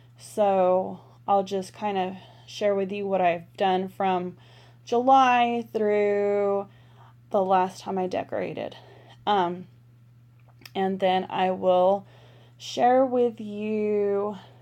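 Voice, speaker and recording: A woman with an American accent speaks very slowly at a medium pitch, her tone dark and mellow, with long, frequent pauses. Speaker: planner vlogger. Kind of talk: casual chat. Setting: bedroom at home.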